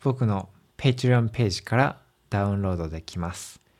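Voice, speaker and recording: His pitch swings very widely as this man talks. The recording is very clean, and the background is silent. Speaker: language teacher podcaster. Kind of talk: learner podcast monologue. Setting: at home. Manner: slow, simple clear speech for learners.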